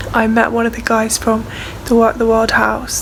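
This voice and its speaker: With an English accent, the speaker moves at a fairly quick pace over noticeable background noise. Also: woman. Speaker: student midwife vlogger. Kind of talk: travel vlog. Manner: chatty.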